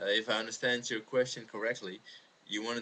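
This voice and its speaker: A man speaks with a Dutch accent. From Netherlands. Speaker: Jehovah's Witness video responder. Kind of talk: video response monologue. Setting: webcam recording. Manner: halting, many fillers.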